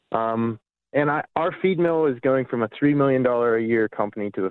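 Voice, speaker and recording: In a normal speaking voice, a man talks with an American accent. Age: 20s. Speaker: farmer. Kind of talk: phone-in call.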